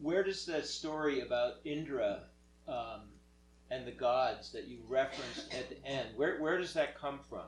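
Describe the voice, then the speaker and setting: Amid audible room echo, a man speaks at a moderate pace with big swings in loudness. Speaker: moderator relaying questions. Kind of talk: Q&A session.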